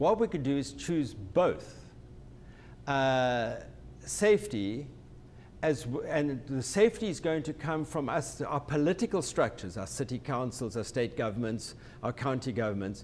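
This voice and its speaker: With a South African accent, a man speaks at a fairly high pitch with vocal fry and very wide pitch swings. He keeps a moderate pace and takes long, frequent pauses. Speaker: company president and transportation technology expert. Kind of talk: webinar discussion. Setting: online webinar. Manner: hesitant, many false starts and repetitions.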